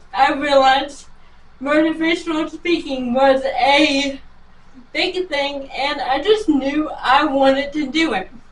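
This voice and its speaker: A woman with an American accent speaks at a very slow pace, her pitch high with ordinary variation. Room echo can be heard. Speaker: motivational speaker. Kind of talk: interview. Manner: short answers.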